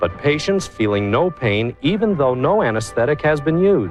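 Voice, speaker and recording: Over music in the background, a fairly high-pitched man speaks at a moderate pace with very wide pitch swings. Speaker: infomercial host. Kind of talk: infomercial presentation.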